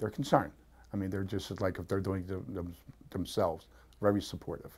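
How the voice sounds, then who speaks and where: With an American accent, a man talks in a very deep, low, somewhat breathy voice and fairly even intonation. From Pennsylvania. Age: 60s. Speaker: weight-loss program client. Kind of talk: testimonial interview. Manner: halting.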